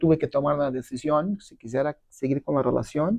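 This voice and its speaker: A man's fairly high, plain, everyday voice at a moderate pace. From Brazil. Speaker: businessman and marketer. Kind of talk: interview.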